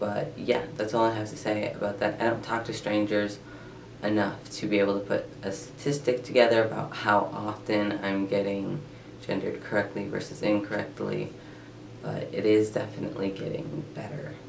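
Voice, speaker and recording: A man with a fairly low pitch is heard with audible room echo and noticeable background noise. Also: ordinary pitch variation, moderate pace. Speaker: vlogger sharing transition updates. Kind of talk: casual vlog update. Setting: filming in bedroom in front of tapestry. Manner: hesitant, many filler words.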